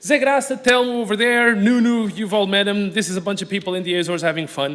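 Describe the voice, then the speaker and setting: At a very fast pace, a man with a Portuguese accent speaks in a high pitch. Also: ordinary pitch variation. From Portugal. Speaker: aquarium animal supplier. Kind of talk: conference talk.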